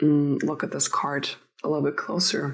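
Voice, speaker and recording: Speaking at a fairly slow pace, a woman with a non-native accent has a very deep, low pitch. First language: not English. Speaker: tarot reader. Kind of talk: tarot reading. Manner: halting.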